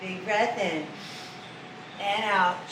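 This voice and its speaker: Recorded with audible room echo and noticeable background noise, this woman's voice sits at a medium pitch. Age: 50s. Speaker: fitness instructor. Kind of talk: exercise class instruction. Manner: slow, calm breathing cues.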